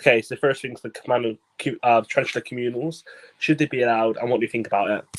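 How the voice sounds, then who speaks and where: A man with a Bristolian accent, very fast pace, medium pitch, fairly even intonation, and dry, close sound with no echo. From Bristol, England. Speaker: podcast host, exotic pet keeper. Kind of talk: casual chat. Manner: mumbling.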